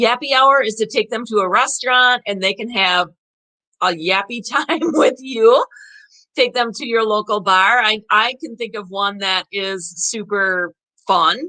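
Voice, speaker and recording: A bright, sharp tone at a fairly slow pace with ordinary pitch variation. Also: woman, fairly high pitch for a woman. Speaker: online seller hosting a live video. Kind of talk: casual live video presentation. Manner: chatty, upbeat, filler words.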